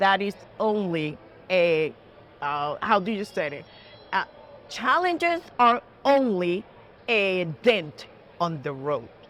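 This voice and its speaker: With a strong Puerto Rican accent, a woman talks at medium pitch and a very slow pace, using lively intonation and long, frequent pauses. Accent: heavy Puerto Rican Spanish. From Puerto Rico, small town near Ponce. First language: Spanish. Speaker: judge. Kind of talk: interview. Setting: trading floor studio. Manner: earnest, emphatic.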